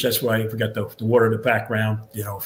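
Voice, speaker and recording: A man with a New York accent speaks at a fairly quick pace. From New York, Long Island. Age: 60s. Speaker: retired fire captain. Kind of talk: podcast interview. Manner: halting, many repeated words.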